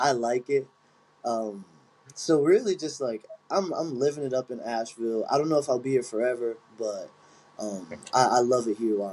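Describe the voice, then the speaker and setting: With a Philadelphia accent, a man at medium pitch talks at a fairly quick pace in a dark, mellow tone, using ordinary pitch variation, big swings in loudness, and long, frequent pauses. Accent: Philadelphia-area American. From Chester, Pennsylvania (Philadelphia area). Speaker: Muay Thai fighter and coach. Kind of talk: casual interview chat.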